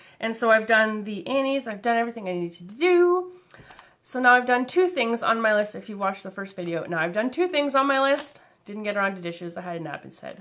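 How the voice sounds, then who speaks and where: A woman speaks at a very fast pace in a fairly high pitch. Her voice shows very wide pitch swings and big swings in loudness. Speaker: crafter and vlogger. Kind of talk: casual vlog chat.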